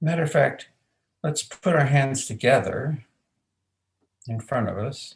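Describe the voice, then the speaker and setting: A man speaks at a fairly slow pace with long, frequent pauses. His somewhat breathy voice has a fairly high pitch and ordinary pitch variation. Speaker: aikido and men's work facilitator. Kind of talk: guided movement instruction.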